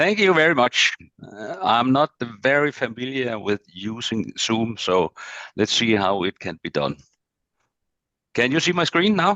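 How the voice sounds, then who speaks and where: With a Danish accent, a man's bright, sharp voice at medium pitch moves at a fairly slow pace with very wide pitch swings and long, frequent pauses, in a dry, close sound with no echo. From Denmark. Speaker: agricultural machinery business development manager. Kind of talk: presentation. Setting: video call.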